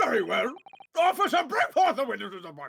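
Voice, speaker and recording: Someone speaks in a put-on character voice with a high pitch. The pace is fairly quick. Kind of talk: formal courtroom speech. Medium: game stream.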